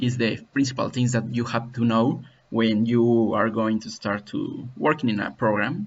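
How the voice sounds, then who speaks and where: The man has a Spanish accent and a medium pitch. He talks at a moderate pace. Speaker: CAD software tutorial maker. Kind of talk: tutorial. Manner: halting.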